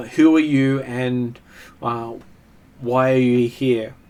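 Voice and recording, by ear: This is a put-on character voice, booming and very slow. Its intonation is monotone and flat. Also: man, medium pitch for a man.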